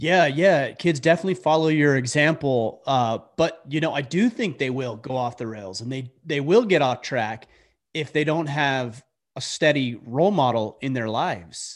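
A man speaks in an ordinary speaking voice, fairly high in pitch with lively intonation. His pace is moderate, against a quiet background. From US, Utah. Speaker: military veteran and podcaster. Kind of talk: interview conversation.

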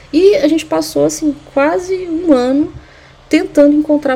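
Against noticeable background noise, a woman talks at a fairly slow pace with very wide pitch swings. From Brazil, Uberlândia, Minas Gerais. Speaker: anthropologist and sociology teacher. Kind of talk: interview. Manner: halting, many fillers.

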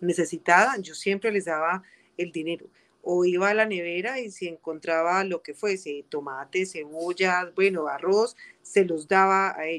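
This woman's voice sits at a medium pitch. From Colombia, coffee region (Armenia, Quindío). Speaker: community legal and social services advisor. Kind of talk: interview. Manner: halting, many fillers.

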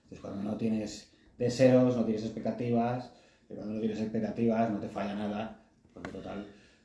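A man with a medium pitch and a dark, mellow tone speaks at a fairly quick pace in a monotone, flat intonation. His loudness swings widely, and the room echo is audible. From Spain. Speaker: podcast co-host. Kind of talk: casual chat.

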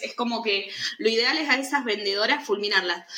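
A woman's voice at a moderate pace. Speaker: podcast co-host. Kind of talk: casual chat.

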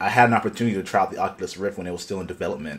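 The speaker is a man. His pitch is fairly low. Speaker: podcast host. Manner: casual, enthusiastic.

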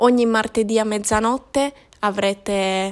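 A woman at a medium pitch speaks with monotone, flat intonation in a very clean recording with a silent background. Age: 20s. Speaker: podcaster. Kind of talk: solo monologue.

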